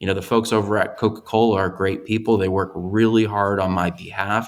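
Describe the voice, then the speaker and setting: This man has a normal speaking voice, fairly low in pitch, at a moderate pace. His intonation is fairly even, and the recording is very clean with a silent background. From US Midwest, Chicago. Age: young. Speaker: investor and business owner. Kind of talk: interview conversation.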